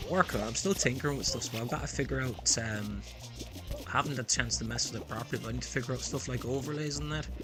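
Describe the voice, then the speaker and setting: A man talks at a very fast pace in a strong Irish accent. Music plays in the background, and the room echo is audible. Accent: thick Irish. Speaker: gaming streamer. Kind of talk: live stream gaming chat.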